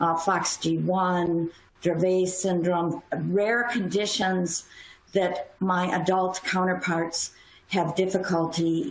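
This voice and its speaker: With an American accent, a woman at medium pitch speaks at a very slow pace and fairly even intonation over noticeable background noise. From US Midwest. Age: 60s. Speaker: pediatric neurologist. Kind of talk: panel discussion.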